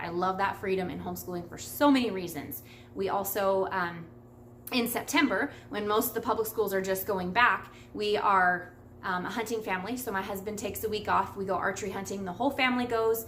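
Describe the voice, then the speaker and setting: A woman talks at a fairly quick pace, with audible room echo around her. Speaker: homeschooling mom vlogger. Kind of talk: casual vlog talk answering questions. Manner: fast; chatty.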